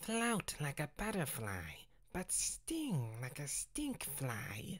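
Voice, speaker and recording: The put-on character voice sits at a middle pitch. It moves at a very slow pace. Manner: boastful, playful.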